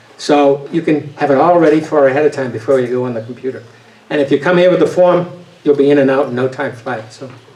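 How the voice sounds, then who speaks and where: Amid noticeable background noise, a man with a slight Boston accent talks at a very fast pace, his fairly high voice keeping fairly even intonation. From New England, Boston area. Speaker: voting advocate, retired engineer. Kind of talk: talk with audience Q&A. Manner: hesitant, many fillers and restarts.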